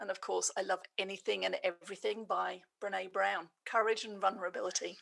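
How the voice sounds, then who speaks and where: A woman speaks with an English accent. Her pace is fairly quick. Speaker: business leader and coach. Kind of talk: podcast interview.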